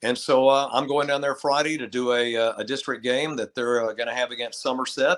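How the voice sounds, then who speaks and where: Recorded very cleanly with a silent background and a dry, close sound with no echo, a man with an American accent speaks in a plain, everyday voice at a medium pitch. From Texas (Lubbock). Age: 60s. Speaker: retired sports radio broadcaster. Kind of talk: casual interview chat.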